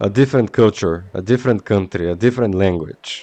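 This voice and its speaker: In a Slavic accent, a man speaks with fairly low pitch, ordinary pitch variation and a dark, mellow tone, the sound dry and close with no echo. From Bulgaria. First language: Bulgarian. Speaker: video game streamer. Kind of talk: casual chat. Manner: halting.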